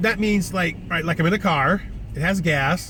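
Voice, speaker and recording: Talking very fast with an American accent, a man is heard over noticeable background noise. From US West. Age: 60s. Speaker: vlogger. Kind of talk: casual monologue. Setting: in a car.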